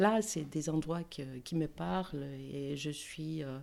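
A woman's very deep, low voice with a Greek accent, a dark, mellow tone, ordinary pitch variation and a very slow pace. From Greece, Athens. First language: Greek (speaking French). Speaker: art conservator-restorer. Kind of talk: interview conversation. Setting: her studio workspace. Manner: hesitant, many fillers.

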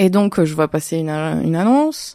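The recording is very clean, with a silent background. A woman with a dark, mellow tone speaks at a fairly slow pace with lively intonation. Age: 30s. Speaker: real estate investor. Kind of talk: interview. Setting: studio, filmed. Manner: hesitant, many fillers.

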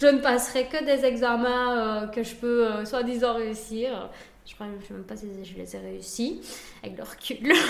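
A fairly high female voice, fairly slow and fairly even in intonation, with big swings in loudness, audible room echo and noticeable background noise. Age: 20s. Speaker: restaurant owner and food influencer. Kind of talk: casual interview. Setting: in her restaurant.

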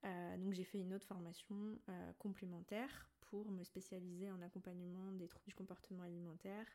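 A woman at a medium pitch and moderate pace, monotone and flat in intonation, with a dark, mellow tone. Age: 20s. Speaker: naturopath. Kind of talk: casual chat.

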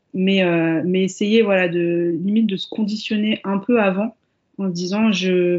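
A woman's fairly slow, fairly even delivery at a medium pitch. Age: 30s. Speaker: mother sharing birth stories. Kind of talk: casual interview, personal testimony. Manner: hesitant, many fillers and repetitions.

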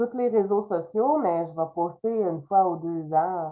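The speaker talks at a very slow pace with a Quebec accent. Pitch variation is ordinary. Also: woman. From Quebec, Trois-Rivières area. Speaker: illustrator and author. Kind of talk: interview.

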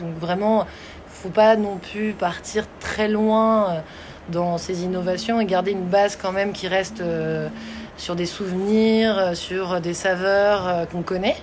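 Very slowly, a woman speaks at a medium pitch with fairly even intonation. Room echo is audible and background noise is noticeable. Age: 30s. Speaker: pastry and ice cream instructor. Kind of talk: interview.

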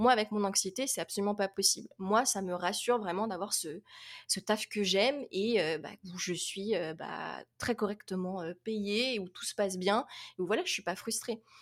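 A woman with an unremarkable speaking voice at a moderate pace. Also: medium pitch for a woman, ordinary pitch variation. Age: 20s. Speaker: young adult fantasy novelist. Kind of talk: casual interview.

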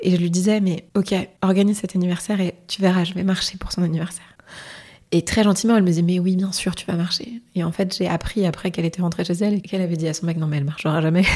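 Very fast and somewhat breathy, a woman speaks at a medium pitch in a dark, mellow tone with fairly even intonation. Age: 30s. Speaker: hotel finance worker and illness survivor. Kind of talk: testimony. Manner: hesitant, casual.

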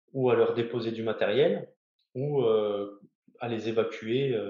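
This man's voice is medium in pitch, and his intonation stays fairly even. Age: 30s. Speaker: navy helicopter rescue diver. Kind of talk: interview. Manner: halting, many hesitations.

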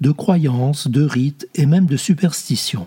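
Solemn in tone, a man speaks very slowly at a fairly high pitch with ordinary pitch variation, in a dry, close sound with no echo. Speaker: audiobook reader. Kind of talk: literary audiobook reading, read aloud from a novel. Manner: slow, measured, solemn literary delivery; fluid, expressive reading of long winding sentences.

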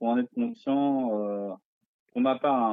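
The man talks at a moderate pace with a medium pitch. His intonation stays fairly even. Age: 30s. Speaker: cruise ship sommelier. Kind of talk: interview. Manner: hesitant, many fillers.

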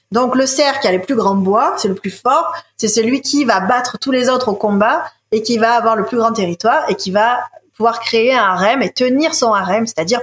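A woman in an ordinary speaking voice talks at a moderate pace with a fairly high pitch and ordinary pitch variation, the sound dry and close with no echo. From France, Marseille. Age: 30s. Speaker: ecologist and environmental leadership founder. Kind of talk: interview.

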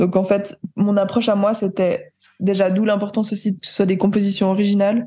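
A woman at a medium pitch with a dark, mellow tone, somewhat breathy, monotone, flat intonation and a moderate pace. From Switzerland. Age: 20s. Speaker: jazz pianist and composer. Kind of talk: interview. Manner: hesitant, many fillers.

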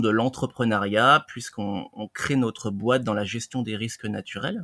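A man speaks in an ordinary speaking voice, fairly low in pitch. His pace is moderate, and the sound is dry and close with no echo. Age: 30s. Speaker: reflexologist. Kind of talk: interview.

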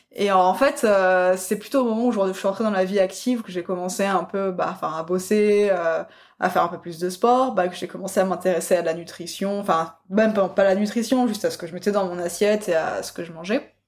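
A woman at medium pitch, fairly quick pace, fairly even intonation and big swings in loudness. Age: 20s. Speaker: food photographer. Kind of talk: casual chat. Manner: hesitant, many fillers.

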